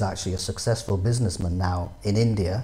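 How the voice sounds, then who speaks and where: Somewhat breathy, a man speaks in a dark, mellow tone. He has a northeastern English accent. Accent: northeastern English twang. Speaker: business advisor. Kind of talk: interview.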